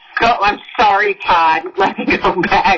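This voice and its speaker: Noticeable background noise beneath a fairly even intonation. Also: woman. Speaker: county board chair. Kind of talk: chairing a public meeting. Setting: virtual public meeting.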